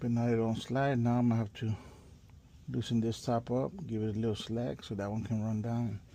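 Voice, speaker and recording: Against a quiet background, a man talks at a fairly quick pace with a dark, mellow tone and fairly even intonation. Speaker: office furniture installer. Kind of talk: POV work walkthrough. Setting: on-site office with people working. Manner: speaking low, quiet; casual, halting.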